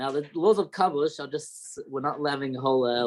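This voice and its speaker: Here a man talks at a fairly quick pace in a fairly high pitch. He has a slight Australian accent and ordinary pitch variation. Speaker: rabbi. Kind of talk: lecture. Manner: halting.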